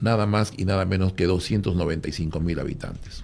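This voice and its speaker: This man has a very deep, low pitch, ordinary pitch variation and a moderate pace. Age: 60s. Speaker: former athlete and religious speaker. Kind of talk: radio panel discussion.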